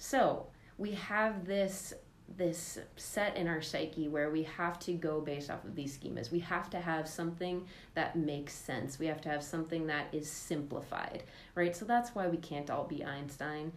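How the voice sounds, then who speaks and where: A woman has an unremarkable speaking voice at a fairly low pitch with ordinary pitch variation. She keeps a moderate pace. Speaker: podcast host. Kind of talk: casual podcast discussion.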